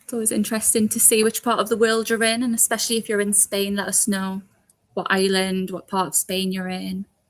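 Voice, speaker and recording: A woman speaks in a Geordie accent at a fairly quick pace. Her medium-pitched voice stays monotone and flat. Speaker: recruiter. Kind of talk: live Q&A stream. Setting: live stream video call.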